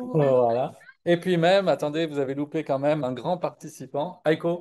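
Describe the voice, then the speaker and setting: The man speaks at a moderate pace. His voice is fairly high, with ordinary pitch variation. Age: 60s. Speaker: product presenter. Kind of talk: live product webinar. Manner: hesitant, many fillers.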